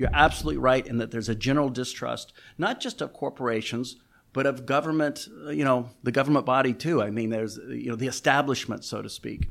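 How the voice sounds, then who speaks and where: Vocal fry marks a voice speaking at a very fast pace with ordinary pitch variation, on a very clean recording with a silent background. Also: man, medium pitch for a man. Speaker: real estate executive. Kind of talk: interview.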